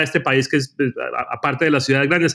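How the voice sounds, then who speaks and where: The voice belongs to a man. The recording is very clean, with a silent background. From Colombia, Cali. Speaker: journalist. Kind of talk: casual interview chat. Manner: halting, repeats words.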